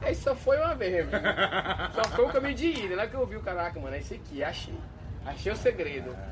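Noticeable background noise and audible room echo fill the clip. In it, a man speaks very fast. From Marabá, Pará, Brazil. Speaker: electronic music DJ. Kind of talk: casual chat. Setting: outdoors at a riverside bar.

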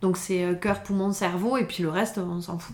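A woman speaks at a medium pitch. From southern France (Pyrénées-Orientales, Font-Romeu). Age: 30s. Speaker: trail runner and mountaineer. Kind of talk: interview. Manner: hesitant, many fillers.

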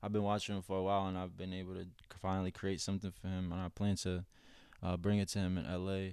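On a very clean recording with a silent background, a man with an American accent talks at a very fast pace in a very deep, low pitch with monotone, flat intonation. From Boston area. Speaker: custom artist. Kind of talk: casual chat.

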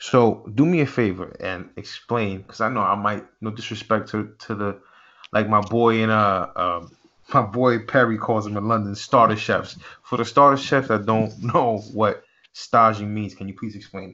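With an ordinary speaking voice, a man talks at a moderate pace and a fairly low pitch, his intonation fairly even but his loudness swinging widely. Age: 30s. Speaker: podcast host and chef. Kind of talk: casual interview.

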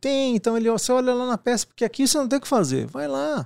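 On a very clean recording with a silent background, a man talks at a very fast pace in a dry, close sound with no echo. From Paraná, Brazil. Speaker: IT director and podcaster. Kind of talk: casual interview.

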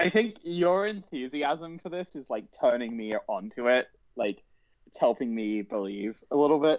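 In a British accent, a man speaks at a fairly high pitch with very wide pitch swings. His loudness swings widely too. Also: moderate pace. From Britain. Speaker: podcast co-host. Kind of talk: casual chat.

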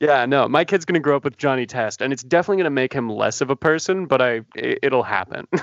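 The speaker races along at a very fast pace with hardly any pauses and ordinary pitch variation, the sound dry and close with no echo against a quiet background. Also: man, fairly high pitch for a man. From Canada. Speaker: podcast co-host. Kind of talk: casual chat.

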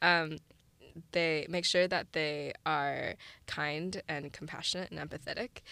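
A woman with an American accent speaks in a very deep, low pitch and fairly even intonation. The recording is very clean, with a silent background. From Saint Louis, Missouri, US Midwest. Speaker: student startup founder. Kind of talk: interview.

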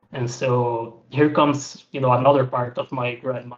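A man of medium pitch, somewhat breathy, with monotone, flat intonation and a fairly slow pace. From Brazil. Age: 20s. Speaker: person seeking help for social anxiety. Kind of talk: counseling conversation.

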